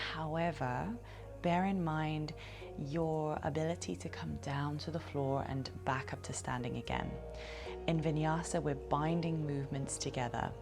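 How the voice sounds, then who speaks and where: A soft-spoken woman with a very deep, low voice talks in a calm tone at a fairly slow pace. Music plays in the background. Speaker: yoga teacher. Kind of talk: yoga class instruction. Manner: soft-spoken, calm.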